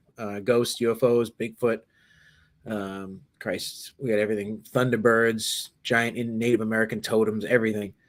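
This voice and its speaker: Here a man speaks with a Boston accent at a medium pitch and a moderate pace. His intonation is monotone and flat, and the recording is very clean with a silent background. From Massachusetts, south of Boston. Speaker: paranormal investigator. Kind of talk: interview.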